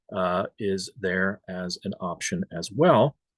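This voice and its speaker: Upbeat in tone, a man with an American accent speaks with lively intonation. The sound is dry and close with no echo, over a quiet background. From US, Florida. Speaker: software solution architect and trainer. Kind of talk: webinar tutorial. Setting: online webinar with screen share. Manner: casual, upbeat.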